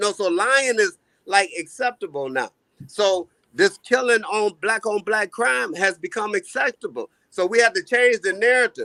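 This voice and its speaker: Raised and projected, a man's bright, sharp, high voice swings very widely in pitch at a moderate pace. The sound is dry and close, with no echo. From US, multiple regions. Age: 50s. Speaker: caller. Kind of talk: casual chat.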